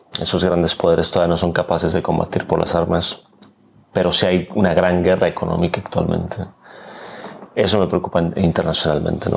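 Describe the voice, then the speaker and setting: Against noticeable background noise, a man with a very deep, low voice talks at a fairly quick pace in a flat monotone. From Mexico, Aguascalientes. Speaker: political scientist and professor. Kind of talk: interview conversation.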